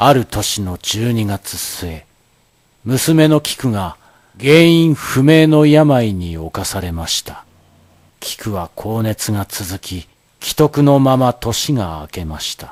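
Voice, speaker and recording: The speech moves at a very slow pace with very wide pitch swings and big shifts in loudness, recorded dry and close with no echo. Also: man, medium pitch for a man. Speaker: narrator, stage actor. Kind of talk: dramatized ghost story narration.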